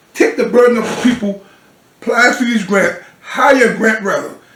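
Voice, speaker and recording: A man with an American accent talks in an animated tone at a moderate pace and an extremely high pitch. Noticeable background noise can be heard. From US South, Georgetown, South Carolina. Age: 60s. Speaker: city council member. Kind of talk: interview. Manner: halting, repeats words.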